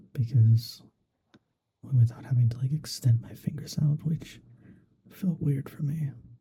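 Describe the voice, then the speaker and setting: A soft-spoken man with a medium pitch, a dark, mellow tone and a somewhat breathy quality talks at a fairly slow pace, his pitch varying in an ordinary way. His loudness swings widely, and he leaves long, frequent pauses. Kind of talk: ASMR gaming commentary.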